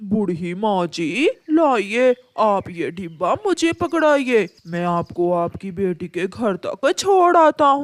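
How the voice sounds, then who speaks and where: In a cartoonish character voice of fairly high pitch, the speaker goes very slowly with hardly any pauses and very wide pitch swings, in a very clean recording with a silent background. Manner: wheedling, fake politeness.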